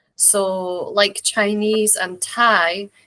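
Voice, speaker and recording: A woman with a Scottish accent speaks at a very slow pace in a medium-pitched, bright, sharp tone. Her intonation is monotone and flat, and the sound is dry and close with no echo. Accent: mild Scottish. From Scotland, rural Borders village near England. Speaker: interview guest. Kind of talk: casual interview chat.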